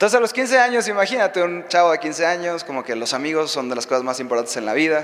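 In a Mexican accent, a man talks at a very fast pace with a high pitch and very wide pitch swings. Room echo is audible, along with noticeable background noise. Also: hardly any pauses. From Mexico. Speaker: preacher. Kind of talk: sermon.

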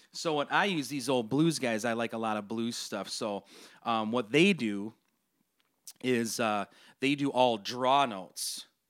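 In a very clean recording with a silent background, a man with an American accent and a normal speaking voice talks at a fairly slow pace and medium pitch, with ordinary pitch variation. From Minnesota Twin Cities. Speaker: podcast host and musician. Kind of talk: casual interview chat.

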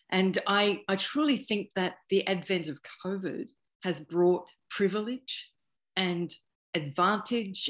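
A woman's medium-pitched voice with an Australian accent at a very slow pace. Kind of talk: panel discussion. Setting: video call.

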